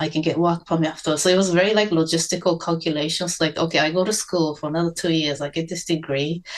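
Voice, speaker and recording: A woman speaks with a Japanese accent at a fairly low pitch. Her intonation stays flat and monotone. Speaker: cinematographer. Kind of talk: interview. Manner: halting.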